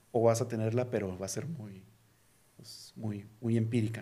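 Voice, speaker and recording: A man's dark, mellow, somewhat breathy voice at medium pitch, fairly slow and monotone, with audible room echo. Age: 40s. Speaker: tech company CEO. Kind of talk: casual interview. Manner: halting, many repetitions.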